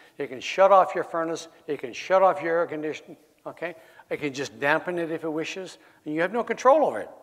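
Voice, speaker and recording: This man has a Canadian accent and a high pitch, talking at a very fast pace. His pitch variation is ordinary, while his loudness swings greatly. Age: 70s. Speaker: retired military officer, anti-smart-meter speaker. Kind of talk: public talk to an audience. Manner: halting, with frequent false starts.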